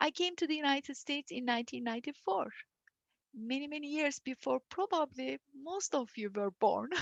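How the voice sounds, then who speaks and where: In a Turkish accent, a woman speaks at a moderate pace in a high voice with lively intonation. The sound is dry and close, with no echo. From Turkey (Istanbul). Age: 50s. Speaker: university dean and engineering professor. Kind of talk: presentation talk.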